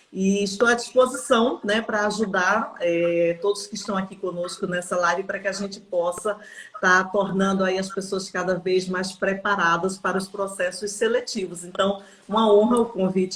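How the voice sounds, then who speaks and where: Noticeable background noise sits behind a woman's medium-pitched voice. She talks at a moderate pace with fairly even intonation. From Brazil, Paraíba (Northeast). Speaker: oil industry manager. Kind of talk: podcast interview. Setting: live stream.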